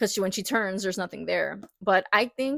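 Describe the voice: Someone does plain reading aloud. Pitch varies in an ordinary way over a quiet background.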